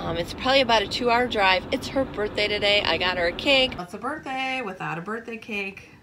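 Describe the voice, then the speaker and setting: Against noticeable background noise, a woman talks at a fairly quick pace. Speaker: DIY vlogger. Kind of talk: casual vlog chat. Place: car.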